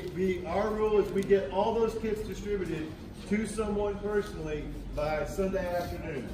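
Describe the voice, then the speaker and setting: A man's voice comes through with audible room echo and noticeable background noise. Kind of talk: briefing to volunteers. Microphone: phone near.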